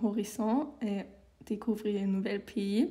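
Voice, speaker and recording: With a German accent, a woman speaks at a very slow pace in a fairly high pitch. Her tone is dark and mellow, and somewhat breathy. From Germany. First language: German (speaking French). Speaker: civic service volunteer. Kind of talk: interview.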